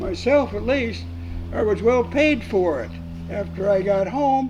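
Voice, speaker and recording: Someone with an American accent speaks at a fairly slow pace. There is audible room echo and music in the background. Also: man. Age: 90s. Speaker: war veteran. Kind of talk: casual chat. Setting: round table in a hall after a club meeting. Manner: halting, many fillers.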